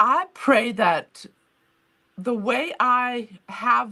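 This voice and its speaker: Against a quiet background, a woman speaks in a high pitch. Her voice moves through very wide pitch swings. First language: not English. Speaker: author and museum founder. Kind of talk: interview. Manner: halting.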